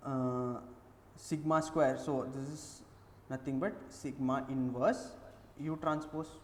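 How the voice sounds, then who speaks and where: A man's fairly high-pitched voice at a very slow pace, with long, frequent pauses, fairly even intonation and audible room echo. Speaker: teaching assistant. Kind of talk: tutorial.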